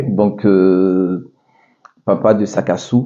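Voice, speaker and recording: With an Ivorian accent, a man speaks at a fairly low pitch. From Ivory Coast, Abidjan. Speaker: restaurant owner. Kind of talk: interview. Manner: hesitant, many fillers.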